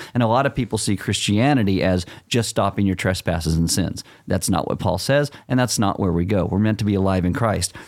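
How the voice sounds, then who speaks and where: An ordinary speaking voice: a man, fairly low in pitch, with ordinary pitch variation and very even loudness. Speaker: pastor. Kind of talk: casual chat.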